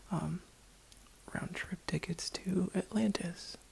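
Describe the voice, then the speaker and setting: A woman is whispering. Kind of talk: ASMR roleplay, casual talk to camera. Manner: soft-spoken, whispering.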